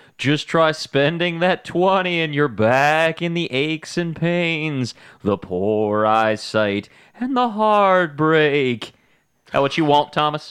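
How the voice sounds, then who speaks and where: A man's put-on character voice, fairly high in pitch and fairly slow, over a quiet background. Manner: spooky, ghostly.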